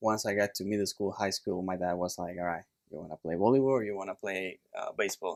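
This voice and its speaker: Fairly low male speech, dry and close-miked with no echo. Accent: Puerto Rican. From Puerto Rico. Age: 30s. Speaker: chiropractor. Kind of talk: casual chat. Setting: studio.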